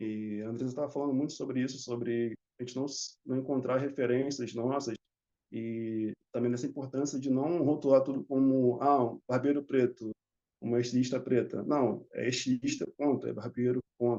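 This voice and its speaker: A man's medium-pitched voice at a moderate pace, in a monotone with flat intonation. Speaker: barber. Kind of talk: conference panel talk.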